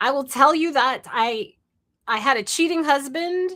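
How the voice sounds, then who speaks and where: A raised, projected voice with a bright, sharp tone at a fairly slow pace, on a very clean recording with a silent background. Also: woman. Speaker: entrepreneur and live streamer. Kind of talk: live stream monologue. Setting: live stream.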